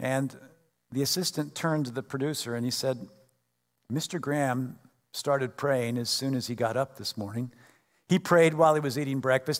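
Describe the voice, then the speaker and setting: A man's unremarkable speaking voice, medium in pitch with ordinary pitch variation and a moderate pace, on a very clean recording with a silent background. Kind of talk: fervent congregational prayer led from the pulpit. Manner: earnest, reverent, heartfelt.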